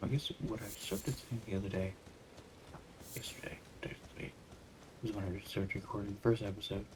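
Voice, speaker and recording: Soft-spoken and at a fairly quick pace, the voice comes through over noticeable background noise. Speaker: gaming streamer. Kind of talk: let's play commentary. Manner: soft-spoken, lowered voice; casual, hesitant with fillers.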